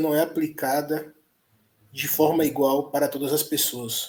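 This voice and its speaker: Speech proceeds at a fairly slow pace, its intonation monotone and flat. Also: man. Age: 30s. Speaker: content creator and father. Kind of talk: podcast interview. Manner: halting, repeats words.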